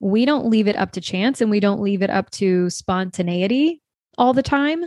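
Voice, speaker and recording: A woman speaks in an unremarkable speaking voice at medium pitch with ordinary pitch variation. The sound is dry and close with no echo, over a quiet background. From US South, small-town Louisiana near New Orleans. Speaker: sex coach and business mentor. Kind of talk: casual interview chat.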